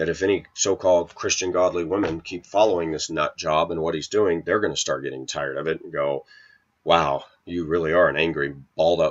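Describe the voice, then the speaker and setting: Moderate pace and an animated tone from a man, over a quiet background. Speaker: video blogger. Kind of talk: casual rant monologue. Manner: opinionated, animated. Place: kitchen. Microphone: webcam.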